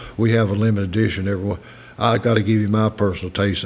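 A man in a Kentucky accent, fairly low-pitched, very fast and monotone with flat intonation. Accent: Kentucky Southern American. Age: 80s+. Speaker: master distiller. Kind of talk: interview answer. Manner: folksy, unpretentious.

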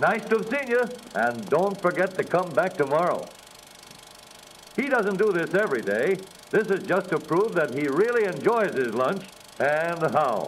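Over noticeable background noise, a man with a high pitch and an upbeat tone swings very widely in pitch at a moderate pace, leaving long, frequent pauses. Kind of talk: vintage newsreel ad narration.

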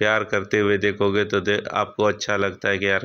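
A man's low-pitched voice, bright and sharp in tone yet clear and smooth

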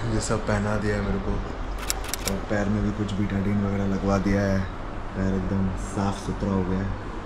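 A man at a moderate pace, loud background noise behind him. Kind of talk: casual vlog chat. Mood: nervous but light-hearted. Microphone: phone near.

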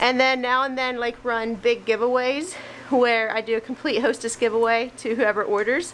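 Against faint background noise, a woman talks at a moderate pace and a fairly high pitch, with fairly even intonation and a fairly bright tone.

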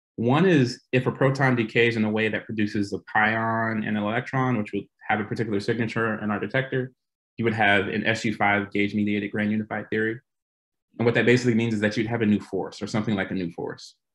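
Against a quiet background, a man talks very fast in a monotone, flat delivery at a medium pitch. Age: 30s. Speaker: physicist, postdoctoral researcher. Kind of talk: lecture. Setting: video call. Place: home room. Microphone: video call.

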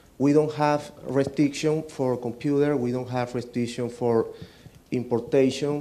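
A man with a Venezuelan accent, fairly slow pace and monotone, flat intonation. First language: Spanish. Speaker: software developer; conference presenter. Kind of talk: conference presentation. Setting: stage with audience. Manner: halting. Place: hall.

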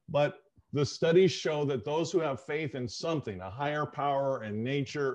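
A man at a moderate pace, fairly high in pitch, dark and mellow in tone, with ordinary pitch variation and a quiet background. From Southern California. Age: 60s. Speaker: sociologist and author; guest. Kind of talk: interview. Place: home room. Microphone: video call.

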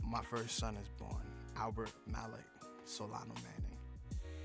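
A man's voice sounds dry with no echo, while clear music plays behind it. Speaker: interviewee. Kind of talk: interview answer. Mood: candid, reflective. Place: studio.

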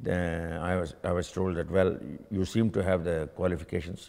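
In an Indian accent, a man speaks with a very deep, low pitch. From India (Gujarat). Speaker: university alumnus, engineer; interviewee. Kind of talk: oral history interview. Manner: halting, with frequent fillers and repeats. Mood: calm, reflective. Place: hall. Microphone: lapel.

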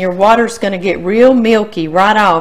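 At a moderate pace, a woman speaks with ordinary pitch variation. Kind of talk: cooking tutorial chat. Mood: cheerful, laughing. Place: kitchen.

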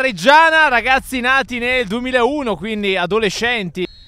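The voice is raised and projected, moving at a fairly slow pace with ordinary pitch variation and a dry sound with no echo. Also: man. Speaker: sports commentator for youth football. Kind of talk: live sports commentary. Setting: live at the pitch in Collecchio. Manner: animated, rising excitement at goals and saves. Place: stadium.

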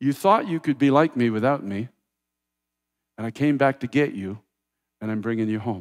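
A man at medium pitch, with ordinary pitch variation, a moderate pace, long and frequent pauses, and a quiet background. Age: 60s. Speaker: pastor. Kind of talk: sermon. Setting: church. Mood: quiet prayer at close. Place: church. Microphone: headset.

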